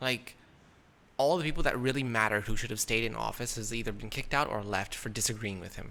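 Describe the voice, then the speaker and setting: An animated, bright, sharp man's voice with an American accent and vocal fry, medium pitch with ordinary pitch variation, a fairly quick pace broken by long, frequent pauses, and audible room echo. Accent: changed, less American after years in India. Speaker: podcast co-host. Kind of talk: casual chat.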